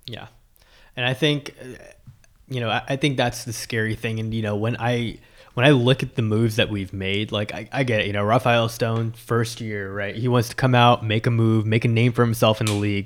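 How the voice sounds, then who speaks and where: A man's medium-pitched voice in an American accent, fairly quick and monotone with flat intonation, on a very clean recording with a silent background. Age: 20s. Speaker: sports podcast host. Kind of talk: casual chat.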